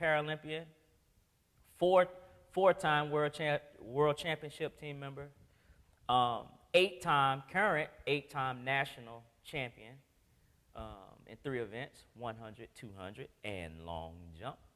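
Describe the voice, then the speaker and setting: A man's bright, sharp voice at a very slow pace, with big swings in loudness and long, frequent pauses. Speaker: guest. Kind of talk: motivational talk. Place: church.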